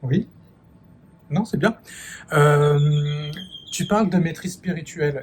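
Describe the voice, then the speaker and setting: A man speaks at a very slow pace with a fairly high pitch. His pitch varies in an ordinary way, and he takes long, frequent pauses. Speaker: YouTube host interviewing a guest. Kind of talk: interview questions.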